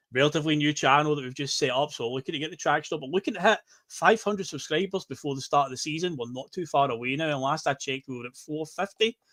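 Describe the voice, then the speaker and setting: Speaking very fast with a Scottish accent, a man with a fairly high, bright and sharp voice is heard in dry, close sound with no echo. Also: ordinary pitch variation, hardly any pauses. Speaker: podcast host. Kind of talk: casual chat.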